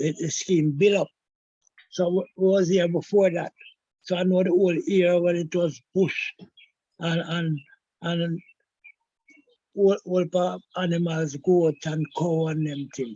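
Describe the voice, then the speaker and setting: At a high pitch and a fairly slow pace, a man with a dark, mellow tone and fairly even intonation leaves long, frequent pauses, the sound dry and close with no echo. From Jamaica, Kingston (Augustown/Hermitage). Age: 70s. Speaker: historian. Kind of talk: interview. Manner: halting.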